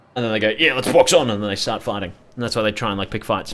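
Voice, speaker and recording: This man speaks with an Australian accent and a fairly low pitch. His tone is bright and sharp. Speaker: gaming streamer. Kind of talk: casual live stream chat. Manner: animated.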